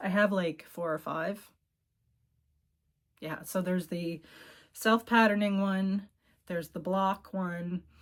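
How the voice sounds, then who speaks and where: A woman at a medium pitch speaks at a very slow pace with long, frequent pauses. Her intonation is fairly even. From Cape Breton, Nova Scotia, Canada. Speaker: knitting video podcaster. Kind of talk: casual show-and-tell chat. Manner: casual with frequent fillers.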